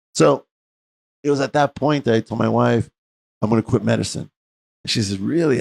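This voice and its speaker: With an American accent and lively intonation, a man speaks with vocal fry and long, frequent pauses in a dry, close sound with no echo. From US West, East Los Angeles. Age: 60s. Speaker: medical doctor and interview host. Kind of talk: interview, personal story.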